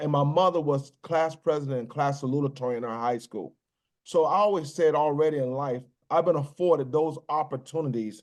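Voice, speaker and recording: With an American accent, a plain, everyday voice moves at a fairly quick pace with ordinary pitch variation. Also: man. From US South, Virginia (New Kent County). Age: 60s. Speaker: business executive, military veteran. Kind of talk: podcast interview. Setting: podcast recording.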